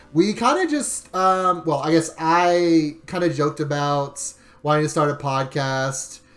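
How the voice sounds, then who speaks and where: Music can be heard behind the speaker. He is a man with a fairly high pitch. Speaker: podcast host. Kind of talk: casual chat. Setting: livestream. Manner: halting, stumbles over words.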